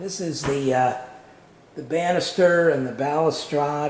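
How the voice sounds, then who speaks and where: A man talks at a very slow pace. Audible room echo and noticeable background noise surround him. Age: 60s. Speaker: home renovator. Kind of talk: tutorial. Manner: halting, many fillers.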